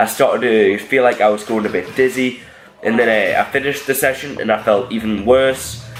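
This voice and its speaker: A man's medium-pitched voice at a fairly quick pace, fairly even in intonation, over noticeable background noise. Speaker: powerlifter vlogger. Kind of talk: voiceover commentary.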